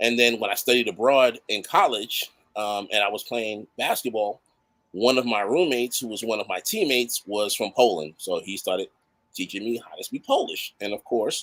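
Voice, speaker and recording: A man speaks in an animated tone at a medium pitch and a moderate pace, with ordinary pitch variation. The sound is dry and close, with no echo. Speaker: award honoree. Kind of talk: interview chat. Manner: animated storytelling.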